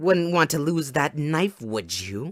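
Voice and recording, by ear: In a put-on character voice with a fairly bright tone, the speaker moves slowly through big pitch swings on a very clean recording with a silent background. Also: man.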